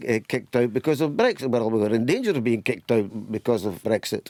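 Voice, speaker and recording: A man with a Scottish accent, medium in pitch, his tone dark and mellow, with ordinary pitch variation, very even loudness, a fairly quick pace and hardly any pauses. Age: 70s. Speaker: retired politician. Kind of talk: radio interview.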